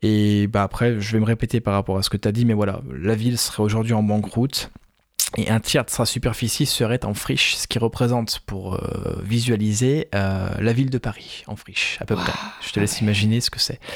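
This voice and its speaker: Fairly quick in pace, a man speaks in an unremarkable speaking voice. His pitch is fairly low and his intonation fairly even. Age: 30s. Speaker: film podcast host. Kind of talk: casual chat.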